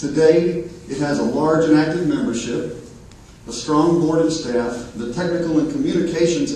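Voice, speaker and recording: A man with an American accent speaks at a moderate pace and a fairly high pitch. Noticeable background noise and audible room echo surround his voice. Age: 50s. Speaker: nonprofit river advocate. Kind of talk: award presentation speech.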